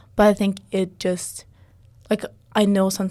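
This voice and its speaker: A woman's dark, mellow tone in a monotone, flat delivery. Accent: non-native. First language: not English. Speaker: podcast co-host. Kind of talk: casual chat. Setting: studio.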